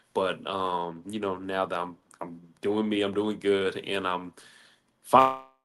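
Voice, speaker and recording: The tone is bright and sharp. Delivery is very slow with fairly even intonation. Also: man, fairly low pitch for a man. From US Midwest, St. Louis, Missouri. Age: 20s. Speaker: caller, formerly incarcerated. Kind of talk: casual chat. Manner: halting.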